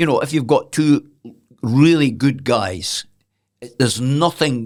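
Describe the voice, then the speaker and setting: On a very clean recording with a silent background, a voice with a Scottish accent speaks at a fairly slow pace with ordinary pitch variation. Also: man. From Scotland. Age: 70s. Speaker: former boxer and retired sports journalist. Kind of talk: podcast interview answer.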